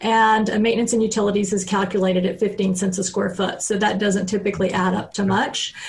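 Speaking fairly quickly with an American accent, a woman keeps a monotone, flat intonation and very even loudness, with audible room echo and noticeable background noise. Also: medium pitch for a woman, hardly any pauses. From Texas. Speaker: reverse mortgage specialist. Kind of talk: radio interview.

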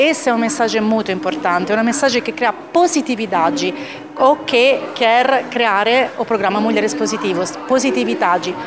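A woman with a fairly high voice talks at a moderate pace, her pitch swinging very widely. The room echo is audible, and there is noticeable background noise. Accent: Italian. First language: Italian (speaking Portuguese). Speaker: corporate executive. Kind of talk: award speech.

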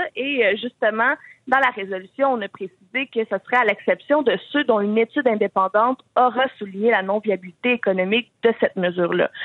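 An unremarkable speaking voice moves at a fairly quick pace. Its loudness stays very even, and its pitch varies in an ordinary way. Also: woman, fairly high pitch for a woman. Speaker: youth political wing president. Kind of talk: radio interview.

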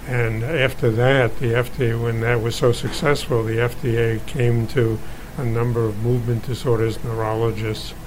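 A man at medium pitch, flat and monotone, fairly slow, with noticeable background noise. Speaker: physician. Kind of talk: medical explanation.

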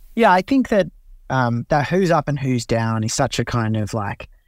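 This man has an Australian accent, a medium pitch and lively intonation. The sound is dry and close with no echo, on a very clean recording with a silent background. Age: 30s. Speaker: political journalist. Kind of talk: interview.

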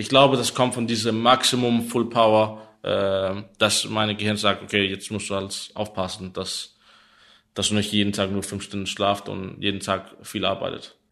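A man's fairly low voice with a Danish accent, bright and sharp in tone, flat and monotone in intonation, at a moderate pace against a quiet background. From Denmark, Copenhagen. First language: Danish (speaking German). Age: 30s. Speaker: esports pro player. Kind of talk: interview. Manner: halting.

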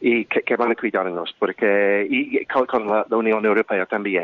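Against noticeable background noise, a man with an English accent speaks at a fairly slow pace. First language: English (speaking Spanish). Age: 50s. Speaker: activist. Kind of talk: interview. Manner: halting.

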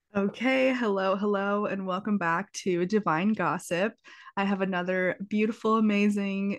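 A woman with a medium pitch speaks at a fairly slow pace with very even loudness. Hers is an unremarkable speaking voice with fairly even intonation. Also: quiet background. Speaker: podcast host. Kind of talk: casual interview chat. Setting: recorded remotely, cat in background.

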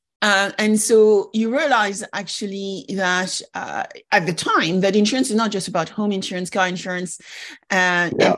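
Against a quiet background, a woman talks in a plain, everyday voice at a medium pitch. Her pace is moderate and her pitch variation ordinary. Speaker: podcast host. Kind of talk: interview conversation.

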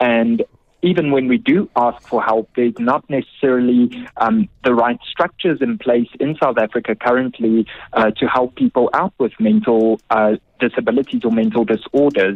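This man has a normal speaking voice at a medium pitch, using ordinary pitch variation, very even loudness and a moderate pace. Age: 30s. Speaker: mental health activist. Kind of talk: radio interview.

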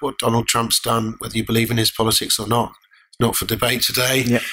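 The man's pitch sits in the medium range. Noticeable background noise runs beneath him. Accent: English. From Lake District, England. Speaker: mining company director. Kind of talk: interview.

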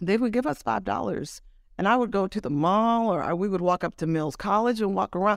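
This woman has a normal speaking voice with an American accent and a medium pitch. She talks at a fairly quick pace with ordinary pitch variation. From California, Oakland and Los Angeles. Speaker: music journalist and author. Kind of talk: interview.

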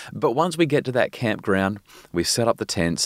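Lively intonation in an Australian accent, dry and close with no echo, in a very clean recording with a silent background. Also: man. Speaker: parenting expert and psychologist. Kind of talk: interview. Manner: fast; animated.

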